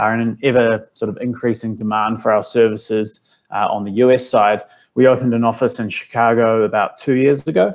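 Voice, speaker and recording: A man speaks at a moderate pace in a strong New Zealand accent, his medium-pitched voice keeping a fairly even intonation. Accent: thick New Zealand. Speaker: business software consultant. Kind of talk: webinar presentation. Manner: frequent filler words (uh, um).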